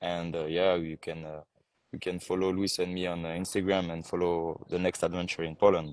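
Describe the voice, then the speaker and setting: Very deep and low, a man's voice runs at a fairly quick pace, monotone and flat, with a slight French accent. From France. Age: 20s. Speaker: pageant contestant. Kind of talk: casual interview. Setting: live video call. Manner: halting.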